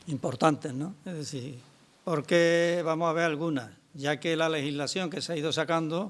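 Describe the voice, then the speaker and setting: A man speaks at a fairly high pitch and a moderate pace with fairly even intonation, in a very clean recording with a silent background. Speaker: pension activist speaker. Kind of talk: public talk. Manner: soft-spoken.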